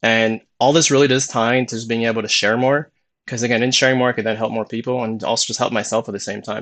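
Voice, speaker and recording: Mumbling at a very fast pace, a man speaks at medium pitch. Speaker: motivational YouTuber. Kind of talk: live stream monologue. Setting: live stream. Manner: fast when excited; mumbles words.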